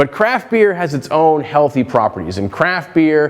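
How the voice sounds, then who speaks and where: A man speaks against noticeable background noise. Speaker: economics researcher. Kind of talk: conference presentation. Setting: conference talk to an audience. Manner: fast.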